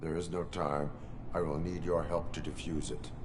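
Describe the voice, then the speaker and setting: A man speaks in a put-on character voice with a very deep, low pitch. His pace is moderate, and loud background noise runs underneath. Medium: video game. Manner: flat, monotone, clipped.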